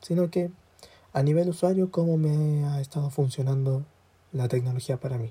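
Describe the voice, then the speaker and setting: A man talks at a moderate pace in a dark, mellow, somewhat breathy voice. His pitch is fairly high, with fairly even intonation. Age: 20s. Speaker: student podcaster. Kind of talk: casual solo monologue. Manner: halting.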